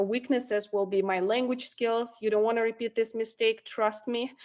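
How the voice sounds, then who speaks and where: At a moderate pace, a woman talks in a fairly high pitch with fairly even intonation. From immigrant to Canada. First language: not English. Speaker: recruiter and career coach. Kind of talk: online workshop presentation. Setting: online workshop with chat. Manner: hesitant, many fillers.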